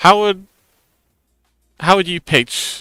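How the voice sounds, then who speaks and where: A man speaks fairly slowly with a bright, sharp tone. The recording is very clean, with a silent background and a dry, close sound with no echo. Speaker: livestreamer. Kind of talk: casual livestream chat while crafting.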